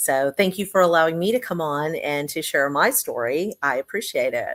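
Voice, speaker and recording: A woman with an American accent speaks at a moderate pace, her voice dry and close with no echo. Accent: Texan, slips in occasionally. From Texas. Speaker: business owner, CEO. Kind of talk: testimony.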